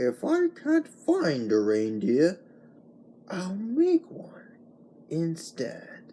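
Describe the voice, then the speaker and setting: This put-on character voice growls at a very slow pace. It has long, frequent pauses and big swings in loudness. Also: man, high pitch for a man. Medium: read story. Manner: sneering, snarling.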